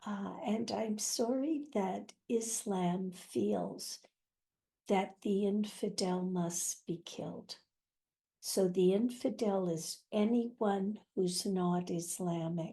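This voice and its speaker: A woman speaks at a very slow pace in a medium pitch, with ordinary pitch variation. Her tone is dark, mellow and somewhat breathy against a quiet background. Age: 80s+. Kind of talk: interview answer.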